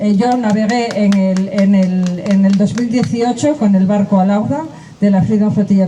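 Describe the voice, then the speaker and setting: Speech at a moderate pace plays against noticeable background noise. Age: 70s. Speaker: activist. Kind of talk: speech at a rally.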